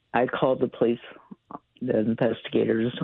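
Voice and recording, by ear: A man's mumbling, put-on character voice at medium pitch, fairly quick and in a monotone, flat delivery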